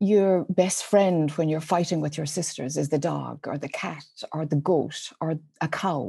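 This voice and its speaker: A woman with an Irish accent speaks at a very deep, low pitch and fairly slow pace, her tone dark and mellow with vocal fry. Her intonation is fairly even, on a very clean recording with a silent background. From Ireland, rural dairy farm. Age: 50s. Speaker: spiritual teacher. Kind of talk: podcast interview.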